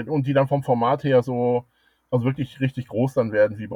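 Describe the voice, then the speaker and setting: This is a normal speaking voice. A man talks at a medium pitch and a fairly quick pace. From Germany, Ruhr area (Dortmund). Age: 50s. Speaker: angling club president and fishing writer. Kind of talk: interview.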